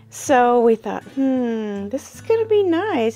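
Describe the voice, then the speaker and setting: A woman speaks with faint music in the background. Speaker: quilting channel host. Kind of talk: casual vlog chat. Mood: relaxed, chatty. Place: workshop. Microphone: camera far.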